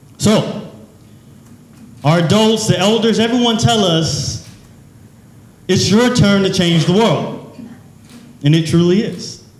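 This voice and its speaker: Very slow delivery with long, frequent pauses, ordinary pitch variation, noticeable background noise and audible room echo. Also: man, high pitch for a man. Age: 20s. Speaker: youth nonprofit founder, speaker. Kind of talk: motivational speech.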